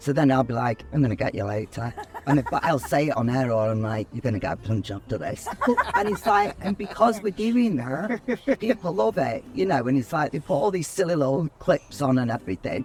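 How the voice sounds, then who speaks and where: A man with a Mancunian accent talks at a fairly quick pace, his fairly high voice making very wide pitch swings. Noticeable background noise runs underneath. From Manchester, England. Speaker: radio host. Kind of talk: casual chat.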